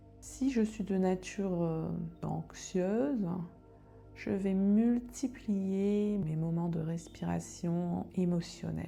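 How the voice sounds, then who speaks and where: A woman's calm, soothing voice at a very slow pace over music in the background. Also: medium pitch for a woman, ordinary pitch variation. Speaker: meditation guide. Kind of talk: guided meditation. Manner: calm, slow, soothing.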